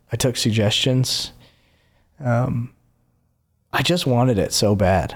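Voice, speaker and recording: A man with an American accent and medium pitch, very slow pace, long and frequent pauses, ordinary pitch variation and very even loudness, on a very clean recording with a silent background. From North Carolina, near Winston-Salem. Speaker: performer in addiction recovery. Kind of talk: casual interview.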